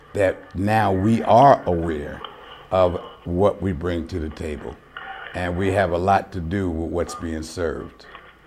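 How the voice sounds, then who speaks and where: Noticeable background noise sits behind a man with an American accent. His very deep, low voice moves at a fairly slow pace. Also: ordinary pitch variation. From New York. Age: 70s. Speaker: public access TV talk show host, military veteran. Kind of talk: call-in talk show monologue. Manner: casual, conversational.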